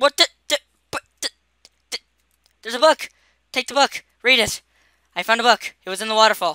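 A man with an extremely high, squeaky pitch uses a raised, projected voice in a bright, sharp tone, with big swings in loudness. He moves at a fairly quick pace but leaves long, frequent pauses. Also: ordinary pitch variation, dry, close sound with no echo. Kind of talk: casual gaming commentary.

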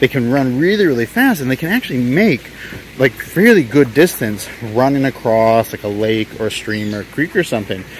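Over noticeable background noise, a man talks at a moderate pace with medium pitch and lively intonation. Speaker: wildlife video host. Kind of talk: nature documentary narration. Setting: outdoors in the field. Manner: enthusiastic, animated, upbeat; informative, clear, moderately paced.

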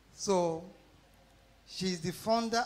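The man talks at an even, middling speed, his pitch rising and falling in an ordinary way. Faint noise sits in the background. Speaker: pastor introducing guest speaker. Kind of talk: sermon. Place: church.

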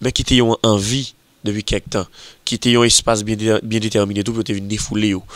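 A man talks at a very fast pace in a fairly low pitch. His intonation is fairly even, and the sound is dry and close with no echo. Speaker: magazine show presenter. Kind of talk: video magazine presentation.

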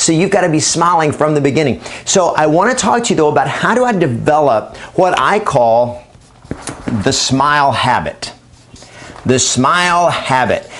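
A man talks at a moderate pace in an upbeat, energetic tone over light background noise. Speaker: real estate trainer and coach. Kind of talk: training talk to camera. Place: studio. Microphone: lapel.

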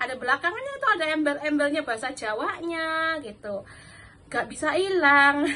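A woman's raised, projected voice with lively intonation. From Java, Indonesia. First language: Javanese (speaking Indonesian). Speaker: vlogger, domestic worker; vlogger. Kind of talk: casual vlog talk; casual vlog chat. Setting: at home. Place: kitchen. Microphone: phone near.

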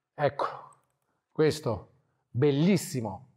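A man's fairly high voice stands out against a quiet background. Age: 40s. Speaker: wildlife photographer; guest. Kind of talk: talk to a club audience. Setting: photo club evening with audience. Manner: casual, halting with fillers. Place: hall.

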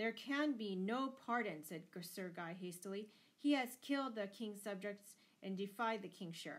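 Natural-voiced reading aloud.

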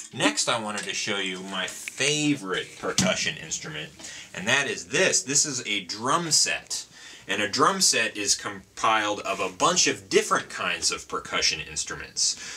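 A man speaks at a moderate pace, his pitch swinging very widely, over light background noise. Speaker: music teacher demonstrating instruments. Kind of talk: tutorial. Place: home room.

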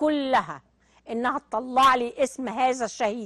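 Speaking very slowly in a Cairo accent, a woman uses a high pitch, with a dry, close sound and no echo. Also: quiet background. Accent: Egyptian Arabic (Cairene). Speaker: television presenter. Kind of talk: TV talk show monologue. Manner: animated.

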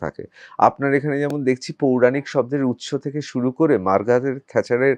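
In a quiet background with a dry, close sound and no echo, a man uses a normal speaking voice at medium pitch. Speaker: political talk show host and journalist. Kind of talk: interview.

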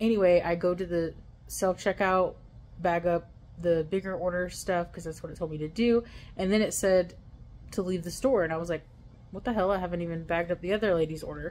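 A woman talks at a fairly quick pace in a plain, everyday voice. Her pitch is fairly low and her intonation fairly even, with light background noise behind her. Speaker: delivery driver vlogger. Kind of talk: casual vlog chat. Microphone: phone near.

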